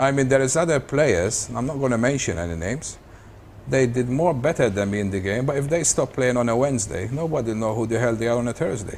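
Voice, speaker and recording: Talking at a very fast pace, a man shows ordinary pitch variation. Noticeable background noise and audible room echo fill the recording. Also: medium pitch for a man. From Malta. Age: 70s. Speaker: professional snooker player. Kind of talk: interview. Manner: halting.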